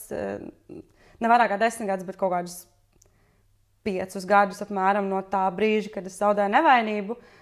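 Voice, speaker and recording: A woman with fairly even intonation over a quiet background. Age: 30s. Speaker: friend of the host. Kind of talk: casual chat. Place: home room.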